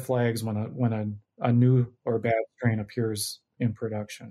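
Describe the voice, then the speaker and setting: A man with an American accent speaks at a fairly slow pace in a dark, mellow tone. His intonation is monotone and flat, and the recording is very clean with a silent background. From Minnesota. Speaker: microbiology professor. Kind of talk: interview.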